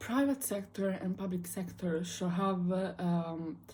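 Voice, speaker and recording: With an Italian accent, a somewhat breathy, dark and mellow voice carries fairly even intonation through audible room echo. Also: woman. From Italy. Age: 18. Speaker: student vlogger. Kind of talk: casual monologue vlog. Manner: casual, many fillers.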